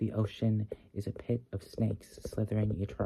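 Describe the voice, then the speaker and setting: The speaker is whispering in a soft-spoken, gentle tone that is somewhat breathy. The pace is fairly slow. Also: man. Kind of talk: slow poetry reading for ASMR. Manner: soft-spoken, gentle, whispery.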